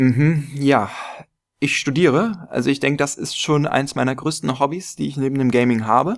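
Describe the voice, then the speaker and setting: With a quiet background, the talking proceeds at a moderate pace. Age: 20s. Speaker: gaming YouTuber; gaming youtuber. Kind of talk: casual vlog monologue. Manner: hesitant with many fillers. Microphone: studio mic.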